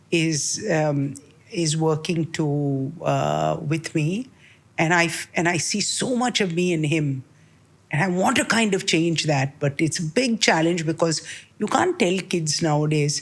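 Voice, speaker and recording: In a very clean recording with a silent background, a woman with an unremarkable speaking voice talks at a fairly low pitch, with very even loudness and ordinary pitch variation. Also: fairly slow pace. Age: 60s. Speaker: healthcare executive. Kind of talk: interview answer.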